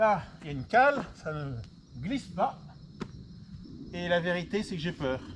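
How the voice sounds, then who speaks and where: Amid noticeable background noise, a man speaks at a very slow pace in a high pitch, his voice making very wide pitch swings. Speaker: vlogger. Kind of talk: personal video diary. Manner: loud; halting.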